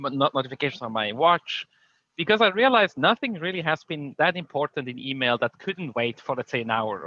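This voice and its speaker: Intonation is lively as a man with a non-native accent talks at a fairly high pitch. His pace is very fast. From Switzerland. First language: not English. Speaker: conference speaker, tech company leader. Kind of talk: conference talk. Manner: hesitant, many fillers.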